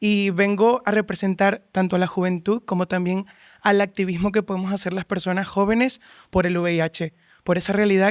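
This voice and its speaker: In a very clean recording with a silent background and a dry, close sound with no echo, a man speaks in a high pitch with monotone, flat intonation. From Venezuela. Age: 20s. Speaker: activist. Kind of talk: podcast conversation.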